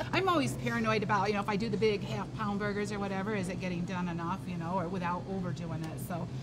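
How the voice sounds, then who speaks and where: Over loud background noise, a woman talks at a very fast pace with hardly any pauses. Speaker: show host. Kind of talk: casual show chat. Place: shop.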